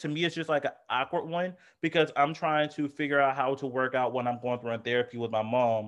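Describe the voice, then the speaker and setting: Speaking at a moderate pace, a man uses an unremarkable speaking voice with ordinary pitch variation. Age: 20s. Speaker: podcast co-host. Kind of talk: casual chat.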